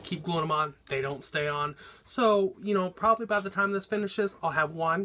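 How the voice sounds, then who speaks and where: A man with an American accent and a normal speaking voice at a fairly quick pace, with ordinary pitch variation. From Oklahoma. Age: 30s. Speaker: drag performer. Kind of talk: audition video monologue. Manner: casual, filler-heavy.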